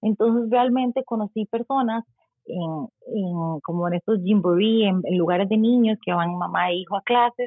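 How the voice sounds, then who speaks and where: At a moderate pace, a woman talks in an unremarkable speaking voice at medium pitch with ordinary pitch variation. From Costa Rica. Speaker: mother living abroad. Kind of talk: casual chat.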